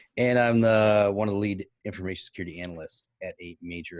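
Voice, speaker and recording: A man's voice in a dry, close sound with no echo. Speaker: information security analyst, panel guest.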